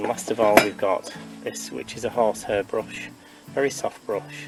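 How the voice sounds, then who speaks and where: With music in the background, a man keeps up a moderate pace. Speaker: beekeeper and community group volunteer. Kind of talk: tutorial. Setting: outdoors. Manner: soft-spoken.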